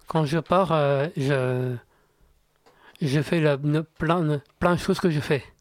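This man speaks at a very slow pace, leaving long, frequent pauses. His pitch is fairly high, his intonation fairly even and his loudness very even. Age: 30s. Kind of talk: radio interview. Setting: radio studio. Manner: halting, repetitive.

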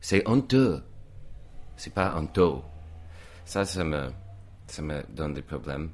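At a very slow pace with long, frequent pauses, a man's very deep, low voice with vocal fry shows lively intonation and big swings in loudness. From US, Virginia, Reston. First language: English (speaking French). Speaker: painter. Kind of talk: casual chat.

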